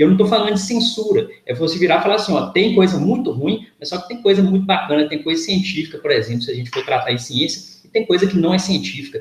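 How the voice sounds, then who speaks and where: Over noticeable background noise, a man with a high voice talks at a very fast pace. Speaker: physics professor. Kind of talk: lecture. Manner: hesitant, repeats words.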